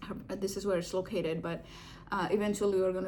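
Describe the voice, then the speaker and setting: With an American accent, a woman talks at a very fast pace and medium pitch, with ordinary pitch variation and audible room echo. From India. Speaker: video blogger and divorce support meetup organizer. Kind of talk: casual reflective vlog talk. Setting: home living room. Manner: hesitant, with many fillers.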